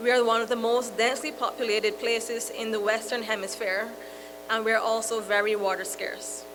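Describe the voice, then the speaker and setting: Over music in the background and audible room echo, a woman speaks in a fairly high voice with fairly even intonation. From Barbados. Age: 30s. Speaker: moderator, youth environmental activist. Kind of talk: panel moderation. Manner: halting.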